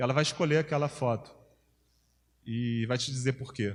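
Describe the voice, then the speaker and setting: On a very clean recording with a silent background, a man of medium pitch speaks fairly quickly. He sounds somewhat breathy and uses ordinary pitch variation. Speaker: campus missionary, workshop speaker. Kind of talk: workshop lecture. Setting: church workshop with audience. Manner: fast.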